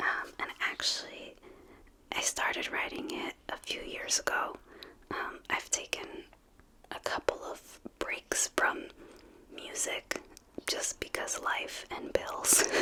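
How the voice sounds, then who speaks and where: Whispering in an American accent at a very slow pace, with long, frequent pauses over noticeable background noise. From New York City. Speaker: singer-songwriter; mother. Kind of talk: interview answer.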